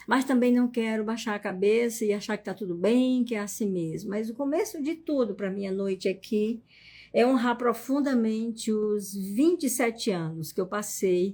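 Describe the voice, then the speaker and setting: At a moderate pace, a woman speaks in a fairly high, somewhat breathy voice with a dark, mellow tone and ordinary pitch variation, on a very clean recording with a silent background. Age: 60s. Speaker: psychologist and family constellation teacher. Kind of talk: live stream talk. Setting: live stream.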